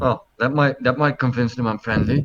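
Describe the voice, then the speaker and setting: Moderately paced speech from a man doing a put-on character voice. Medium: actual play. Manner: jokey, boastful.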